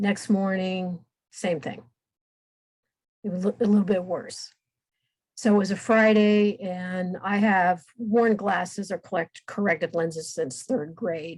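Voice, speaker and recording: At a fairly slow pace with long, frequent pauses, a woman speaks at medium pitch in a somewhat breathy voice with ordinary pitch variation. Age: 60s. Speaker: guest with multiple sclerosis. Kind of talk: interview. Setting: podcast recording.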